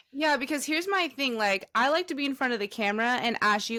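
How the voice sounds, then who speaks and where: In a very clean recording with a silent background, a woman talks at a very fast pace with lively intonation. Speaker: podcast co-host and college basketball player. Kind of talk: casual chat.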